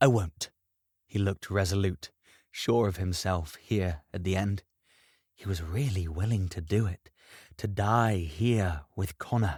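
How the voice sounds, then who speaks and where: A man with a fairly low pitch speaks at a fairly slow pace, somewhat breathy, with ordinary pitch variation. The recording is very clean, with a silent background and a dry, close sound with no echo. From British. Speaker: voice actor, audiobook narrator. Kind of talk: fantasy audiobook reading.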